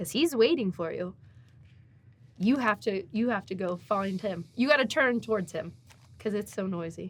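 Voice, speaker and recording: A somewhat breathy woman's voice at medium pitch, with lively intonation and long, frequent pauses. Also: moderate pace. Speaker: artist and former teacher, guest sharing faith story. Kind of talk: interview testimony. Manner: animated, talkative.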